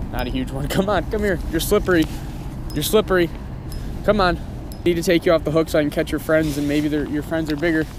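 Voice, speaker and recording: Against noticeable background noise, a man speaks in an animated tone at a fairly high pitch. His pace is very fast, broken by long, frequent pauses. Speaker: fishing vlogger. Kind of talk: outdoor vlog narration. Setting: outdoors on a frozen pond.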